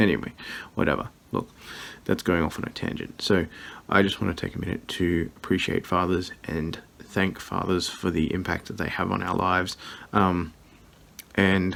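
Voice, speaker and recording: A man with an Australian accent speaks quietly at a very deep, low pitch in a monotone, flat intonation. He keeps a moderate pace, broken by long, frequent pauses. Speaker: vlogger, scrapyard owner. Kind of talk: casual vlog. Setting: at home at night. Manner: quiet, hushed.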